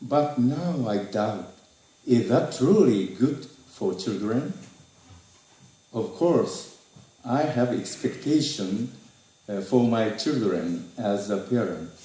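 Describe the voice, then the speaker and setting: A man's dark, mellow voice at medium pitch with a Japanese accent, lively intonation, a very slow pace, long, frequent pauses and audible room echo. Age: 60s. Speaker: retired teacher. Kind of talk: reading aloud. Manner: halting.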